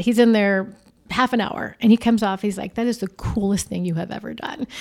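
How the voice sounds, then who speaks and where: In an American accent, a woman with a normal speaking voice talks at a fairly quick pace and medium pitch, recorded very cleanly with a silent background. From Arizona. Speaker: newspaper editor-in-chief. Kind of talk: interview.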